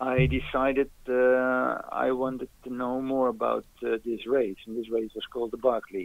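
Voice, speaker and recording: With a Dutch accent, a man speaks at a fairly slow pace. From Netherlands. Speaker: ultrarunner. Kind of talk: interview. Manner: halting.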